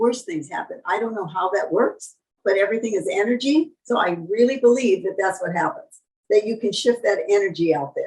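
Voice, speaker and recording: At a moderate pace, a woman speaks in a fairly high, somewhat breathy voice with lively intonation. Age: 80s+. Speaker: long-term vegan, raw vegan author and guest. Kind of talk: interview answer. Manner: warm, reflective, conversational.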